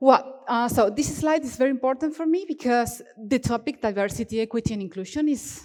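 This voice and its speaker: A woman with an Argentine accent speaks at a high pitch and a fairly quick pace. Her pitch variation is ordinary, while her loudness swings widely. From Argentina, Cordoba region. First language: Spanish. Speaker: software developer, conference speaker. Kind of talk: conference talk. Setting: stage with audience. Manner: animated, expressive; halting.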